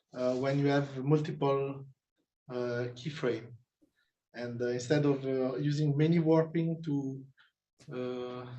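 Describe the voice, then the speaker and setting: A man with a non-native accent and a fairly high pitch speaks at a very slow pace, somewhat breathy, with fairly even intonation. He leaves long, frequent pauses, and room echo is audible. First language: not English. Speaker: jury member at thesis defense. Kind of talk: academic Q&A. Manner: halting, many hesitations.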